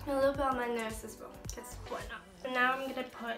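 A raised, projected voice rings with audible room echo over clear music in the background. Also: woman. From China. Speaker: beauty vlogger. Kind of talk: casual makeup tutorial talk to camera. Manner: casual, chatty. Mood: relaxed, light-hearted. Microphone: phone near.

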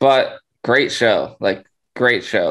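A man speaks against a quiet background. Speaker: podcast co-host and quizmaster. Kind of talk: casual chat. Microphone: video call.

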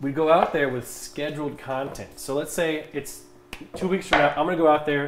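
Amid light background noise and audible room echo, a man with an American accent talks at a moderate pace. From US Midwest. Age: 20s. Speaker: streamer. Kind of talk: casual chat. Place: kitchen.

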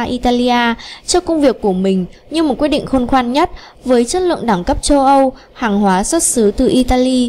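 A woman speaks at a moderate pace in a fairly high voice, her tone slightly mellow and her intonation lively.

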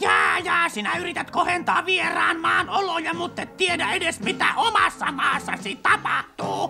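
A cartoonish character voice with clear music in the background. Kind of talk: cartoon dub acting. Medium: fan dub. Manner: pushy, ranting, self-important.

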